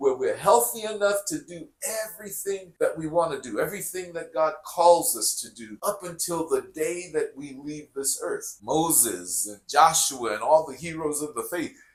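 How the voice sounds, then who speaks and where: A man at a moderate pace with hardly any pauses and big swings in loudness. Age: 60s. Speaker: former pastor, fitness and faith coach. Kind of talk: motivational vlog monologue.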